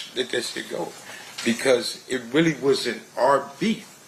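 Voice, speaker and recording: With noticeable background noise behind him, a man speaks fairly slowly. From Compton, Los Angeles. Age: 60s. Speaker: trial witness. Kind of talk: court testimony. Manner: halting.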